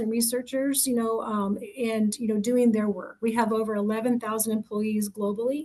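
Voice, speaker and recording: Over noticeable background noise, a woman talks at a fairly quick pace with a fairly high pitch and fairly even intonation. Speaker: recruiter. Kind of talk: presentation. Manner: fast; many fillers (um, you know).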